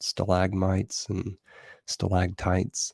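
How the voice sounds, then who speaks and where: A somewhat breathy voice in a dry, close recording with no echo. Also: man. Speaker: livestream host. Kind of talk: casual livestream monologue. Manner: halting, many fillers.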